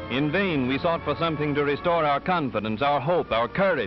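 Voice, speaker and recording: A man with an American accent talks at a fairly quick pace with lively intonation. Music plays behind him. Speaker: newsreel narrator. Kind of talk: 1930s newsreel narration. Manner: formal, measured, declamatory.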